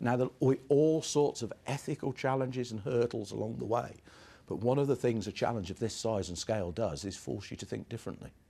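Speaking at a very fast pace, a man with a dark, mellow tone shows vocal fry and ordinary pitch variation. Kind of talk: interview answer. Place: office.

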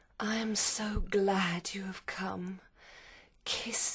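The speaker puts on a character voice at a middle pitch. Delivery is very slow in pace. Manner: seductive.

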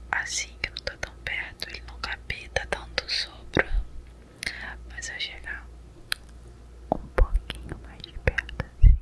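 Soft-spoken whispering at a very slow pace, with long, frequent pauses, big swings in loudness and light background noise. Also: woman, dry sound with no echo. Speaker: ASMR creator. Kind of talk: casual tutorial chat, soft-spoken. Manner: soft close-mic whisper behind hand. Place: home room. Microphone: studio mic.

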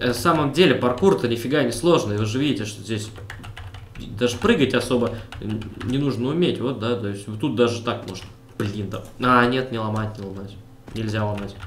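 A man's medium-pitched voice at a moderate pace, with ordinary pitch variation, big swings in loudness, long, frequent pauses, audible room echo and noticeable background noise. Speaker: gaming video creator. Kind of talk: let's play commentary. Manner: animated.

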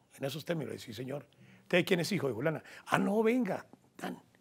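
Pitched fairly high, a man's voice carries vocal fry and very wide pitch swings. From Colombia, Huila (Garzón); Huila, Colombia. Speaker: journalist and sports commentator. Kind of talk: interview. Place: studio. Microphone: lapel.

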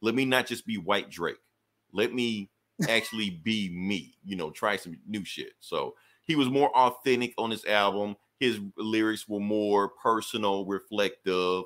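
A man with an American accent, a plain, everyday voice, a fairly low pitch, ordinary pitch variation and a fairly slow pace, on a very clean recording with a silent background. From US South. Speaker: podcast host. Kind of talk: casual chat.

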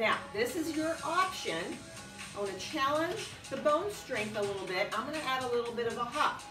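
A woman's high-pitched voice at a moderate pace, with clear music in the background. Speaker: exercise instructor. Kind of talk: fitness class instruction. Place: gym. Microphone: camera far.

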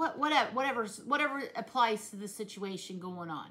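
A woman with a rural Southern US accent speaks at a fairly slow pace in a warm tone with lively intonation, over light background noise. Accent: rural Southern US, self-described hillbilly. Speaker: vlogger. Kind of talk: casual vlog chat. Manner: warm, conversational, earnest. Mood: earnest, heartfelt. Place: kitchen. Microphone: phone near.

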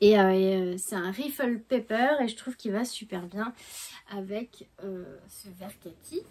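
A woman is speaking. Her intonation is lively. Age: 40s. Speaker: knitting and sewing vlogger; sewing vlogger. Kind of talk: casual vlog chat. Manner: hesitant, many fillers. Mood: warm, cheerful. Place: home room. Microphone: phone near.

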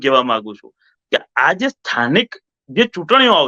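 The man's voice has a bright, sharp tone. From Gujarat, Vadodara area. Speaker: local activist. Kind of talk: interview.

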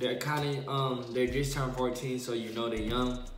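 There is audible room echo and light background noise as a man talks at a moderate pace. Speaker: vlogger. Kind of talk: casual vlog chat, mukbang. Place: home room. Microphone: phone near.

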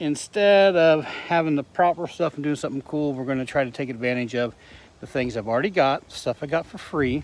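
Light background noise sits under a man's voice, and the sound is dry with no echo. His pace is moderate, and his pitch varies in an ordinary way. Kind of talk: casual vlog chat. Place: garden. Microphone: phone near.

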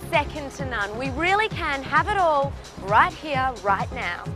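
A woman with an Australian accent, an upbeat tone, dry sound with no echo and clear music in the background. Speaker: TV host; TV presenter. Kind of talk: TV travel and lifestyle presenting. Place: beach.

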